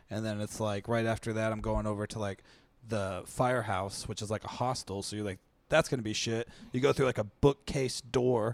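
Dry and close with no echo, the recording is very clean over a silent background. A man with a fairly low pitch and an American accent talks at a fairly quick pace in a normal speaking voice, his intonation fairly even. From Seattle area, US Pacific Northwest. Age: 20s. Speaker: stand-up comedian. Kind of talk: casual chat.

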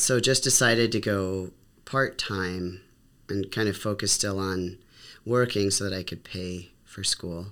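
In a plain, everyday voice, a man talks at a fairly slow pace and fairly low pitch with fairly even intonation, on a very clean recording with a silent background. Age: 40s. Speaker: educator. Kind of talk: casual chat.

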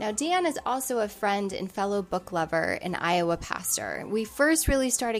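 With ordinary pitch variation, a woman talks at a medium pitch in a plain, everyday voice. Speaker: podcast host and pastor. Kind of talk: interview conversation.

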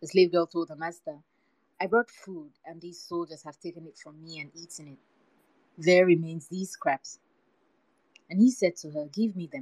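Her pitch fairly low and her intonation fairly even, a woman speaks at a moderate pace in a dry, close sound with no echo. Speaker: podcast host. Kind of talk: literary audiobook reading, storytelling read aloud from a book. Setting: live Twitter Space audio chat. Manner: measured, steady, narrative pace, story-like cadence.

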